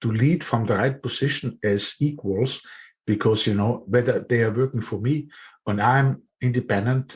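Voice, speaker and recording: A somewhat breathy voice speaks at a moderate pace with ordinary pitch variation over a quiet background. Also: man, medium pitch for a man. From Austria. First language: German. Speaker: podcast host. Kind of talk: interview conversation. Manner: hesitant, many fillers.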